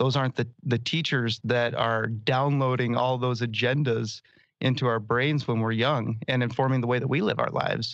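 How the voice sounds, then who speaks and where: Over a quiet background, a voice with an American accent speaks at a moderate pace in a monotone, flat intonation. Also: man, medium pitch for a man, very even loudness. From Indiana, US Midwest. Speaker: podcast host. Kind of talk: interview conversation. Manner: halting, many fillers and restarts.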